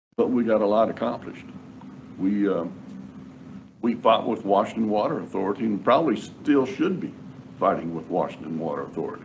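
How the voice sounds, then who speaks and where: A man with long, frequent pauses and audible room echo. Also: fairly low pitch for a man, fairly quick pace. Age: 70s. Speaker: attorney, job candidate. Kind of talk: job interview. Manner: halting, repeats words.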